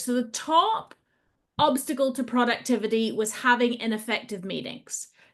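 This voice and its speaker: In a British accent, a woman with a high pitch speaks at a fairly slow pace. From Britain. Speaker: agile trainer and coach. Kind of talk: webinar presentation. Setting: online video call.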